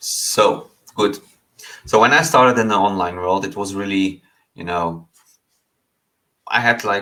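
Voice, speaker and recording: Speaking with a non-native accent, a man talks at a fairly slow pace and fairly low pitch, with ordinary pitch variation and long, frequent pauses. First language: not English. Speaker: online business coach. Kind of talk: online lesson. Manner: halting, many fillers.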